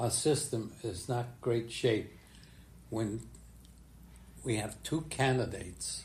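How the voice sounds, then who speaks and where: A man with an American accent talks at a very slow pace, and room echo can be heard. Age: 90s. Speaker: retired politician. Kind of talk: casual chat. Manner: halting.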